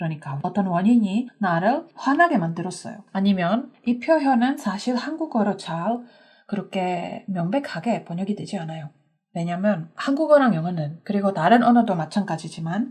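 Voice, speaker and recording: A woman speaks at a moderate pace in a medium pitch, her somewhat breathy voice swinging very widely up and down against a quiet background. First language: English (speaking Korean). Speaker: English teacher. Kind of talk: language lesson. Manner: conversational, with filler hesitations.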